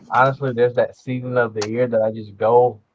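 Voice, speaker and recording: A man speaks with a Southern accent in a monotone, flat intonation. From US South. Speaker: rapper. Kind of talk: interview. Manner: hesitant, many fillers.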